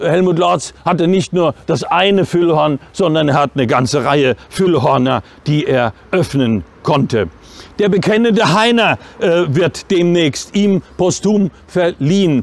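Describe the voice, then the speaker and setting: Speech comes at a very slow pace, with a dry sound and no echo. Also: man. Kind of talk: opening speech. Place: street.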